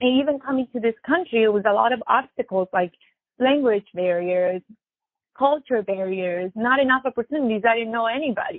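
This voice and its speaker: A woman with a Spanish accent speaks at a fairly quick pace in a fairly high pitch, her intonation lively. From Latin America, immigrated to US. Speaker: musician, DJ and violinist. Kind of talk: interview.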